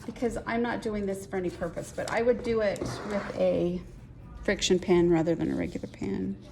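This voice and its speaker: A woman with a Utah accent at a moderate pace, amid noticeable background noise. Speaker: quilting teacher. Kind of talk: tutorial.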